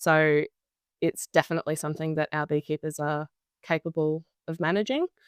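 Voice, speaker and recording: In a very clean, dry, close recording with no echo and a silent background, a woman with an Australian accent speaks at a fairly quick pace in a very deep, low pitch and a monotone, flat intonation. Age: young. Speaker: beekeeper. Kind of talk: interview answer.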